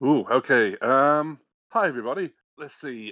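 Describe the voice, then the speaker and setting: A man with an English accent at a fairly slow pace, his pitch variation ordinary. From England. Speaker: game programmer. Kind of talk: casual chat.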